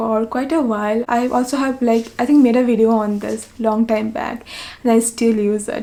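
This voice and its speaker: A woman's fairly high-pitched voice, dark and mellow in tone, with a monotone, flat intonation. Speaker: beauty vlogger. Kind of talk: tutorial.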